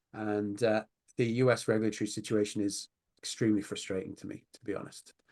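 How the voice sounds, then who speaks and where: In a British accent, a man talks at a very fast pace with a fairly low pitch, monotone, flat intonation and big swings in loudness, in a dry, close sound with no echo. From Britain. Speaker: online poker company president. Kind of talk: interview. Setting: video call from home office.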